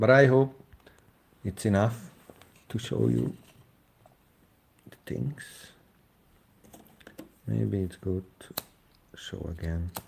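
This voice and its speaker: In a Hungarian accent, a man with a very deep, low pitch speaks very slowly and somewhat breathily, with very wide pitch swings, big swings in loudness and long, frequent pauses. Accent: Hungarian accent, non-native English. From Hungary. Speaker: DIY engine builder, YouTuber. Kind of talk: live stream demonstration. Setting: live stream. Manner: halting, many fillers.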